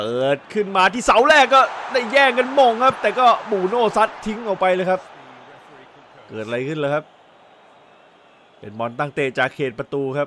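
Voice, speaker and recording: A man's raised, projected voice, high in pitch with very wide pitch swings, over noticeable background noise. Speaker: football commentator. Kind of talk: football match commentary.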